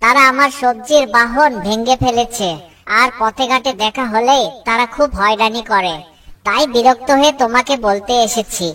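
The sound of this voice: Cartoonish character voice, female-sounding and high in pitch. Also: moderate pace.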